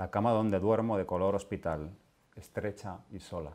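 The delivery is solemn and fairly slow. Pitch varies in an ordinary way. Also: man. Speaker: poet reading his work. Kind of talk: poetry reading. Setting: literary event with audience. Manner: slow, halting, solemn. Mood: calm, solemn, unhurried. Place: home room. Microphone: lapel.

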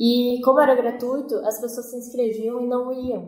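A dark, mellow tone with audible room echo. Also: woman. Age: 20s. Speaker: cinematographer, ghost-tour organizer. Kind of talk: interview.

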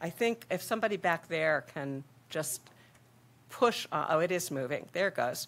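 The intonation is lively. The pace is moderate. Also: woman, fairly low pitch for a woman. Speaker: population health researcher, academic director. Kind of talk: conference presentation. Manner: frequent filler ums. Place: hall.

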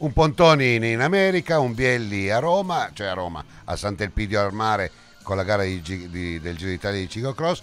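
At a moderate pace, a man with a fairly low pitch and an animated tone talks in very wide pitch swings. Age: old. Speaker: cycling commentator. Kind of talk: live commentary; interview.

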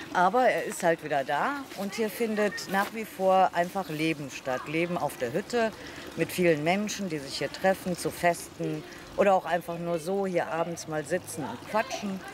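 A woman with a fairly low pitch talks at a moderate pace with lively intonation. The sound is dry with no echo, and there is noticeable background noise. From Troisdorf, Rhineland, Germany. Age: 60s. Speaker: local resident. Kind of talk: interview answer. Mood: warm, nostalgic. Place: street.

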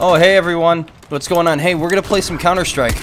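A man's squeaky, put-on character voice, high-pitched, upbeat in tone and very fast. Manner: upbeat, streamer-like.

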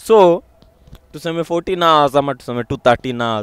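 A man with a Kenyan accent speaks at a moderate pace and a fairly high pitch. The sound is dry and close, with no echo. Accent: Kenyan English with Sheng. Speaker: vlogger. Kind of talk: motivational vlog monologue. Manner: animated.

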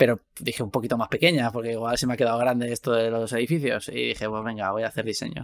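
A man's medium-pitched voice at a very fast pace, with fairly even intonation, hardly any pauses, and a quiet background. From Spain, Valencia; Spain. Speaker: video game VFX artist and podcast host; podcast guest host. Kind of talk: casual chat. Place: home room.

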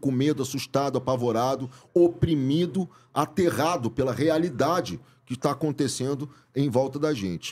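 Pitch variation is ordinary for this man. His voice sits fairly high. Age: 50s. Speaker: actor and director; podcast guest. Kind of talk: casual chat. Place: studio. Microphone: studio mic.

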